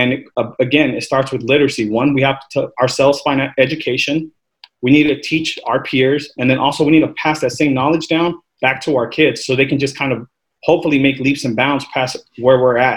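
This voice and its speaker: Flat and monotone, a man talks at a fairly quick pace. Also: fairly high pitch for a man. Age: 30s. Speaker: finance professional panelist. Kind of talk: panel discussion. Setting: video call.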